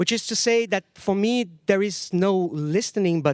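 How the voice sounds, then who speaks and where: A man with a Portuguese accent at a moderate pace with ordinary pitch variation, in a very clean recording with a silent background and a dry, close sound with no echo. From Brazil. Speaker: sound artist and lecturer. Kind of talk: lecture. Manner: halting, with fillers.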